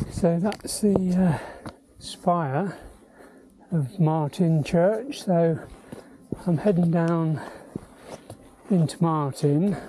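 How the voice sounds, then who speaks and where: Long, frequent pauses break up this very slow delivery, heard with a dry sound and no echo. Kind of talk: casual vlog commentary. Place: open country.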